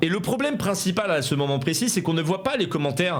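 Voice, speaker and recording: The speech is very fast, with audible room echo and noticeable background noise. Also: man. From France, Seine-et-Marne countryside. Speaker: youtuber. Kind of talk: video commentary.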